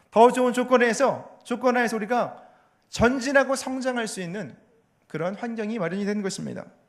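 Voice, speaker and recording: A man talks at an extremely high pitch, and the room gives off an audible echo. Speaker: pastor and theology professor. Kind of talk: sermon. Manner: fast.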